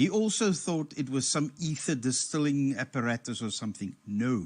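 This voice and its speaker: A man's fairly high voice with very wide pitch swings at a fairly slow pace over a quiet background. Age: 60s. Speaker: amateur radio net host. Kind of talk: show-and-tell on a live radio net. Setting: amateur TV satellite net. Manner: halting, self-correcting.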